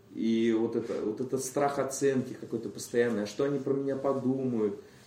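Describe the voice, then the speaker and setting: With audible room echo, a man speaks at a medium pitch in a dark, mellow tone. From Moscow, Russia. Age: 20s. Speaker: recovering addict, AA speaker. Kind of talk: personal testimony.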